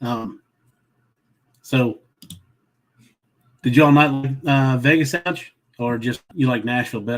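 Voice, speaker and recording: Speaking in a Southern accent, the voice moves at a fairly slow pace with ordinary pitch variation and long, frequent pauses. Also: man, medium pitch for a man. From Southern Maryland. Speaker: travel vlogger. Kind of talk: casual chat. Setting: livestream. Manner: halting.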